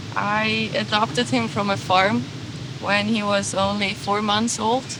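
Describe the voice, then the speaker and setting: Speaking at a fairly slow pace, a woman's voice rises and falls in very wide pitch swings over noticeable background noise and audible room echo. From Switzerland. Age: 20s. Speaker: van traveler. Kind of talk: interview, personal story.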